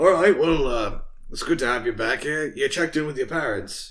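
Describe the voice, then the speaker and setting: Someone uses a raspy, put-on character voice at a fairly quick pace with ordinary pitch variation. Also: man, fairly high pitch for a man. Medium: actual play. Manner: blunt, folksy.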